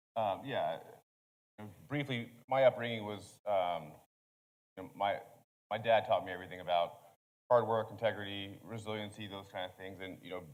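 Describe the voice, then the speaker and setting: A man with a Texan accent talks at a moderate pace in a fairly low pitch, his intonation fairly even, his loudness swinging widely, and his speech broken by long, frequent pauses. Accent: Texan American. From Texas, small town. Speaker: Army Green Beret sergeant, Medal of Honor recipient. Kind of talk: panel discussion.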